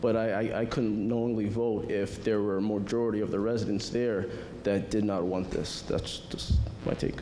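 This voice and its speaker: With noticeable background noise and audible room echo, a man talks at a fairly low pitch in a flat monotone, his loudness very even. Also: moderate pace. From Groton, Connecticut. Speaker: city councilor. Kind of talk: public meeting statement. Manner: mumbling; halting, many fillers.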